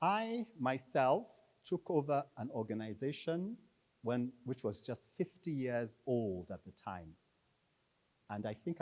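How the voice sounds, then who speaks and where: At a fairly slow pace, a man with an unremarkable speaking voice and a medium pitch uses lively intonation. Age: 60s. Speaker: conference speaker introducing the keynote. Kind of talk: formal introduction speech.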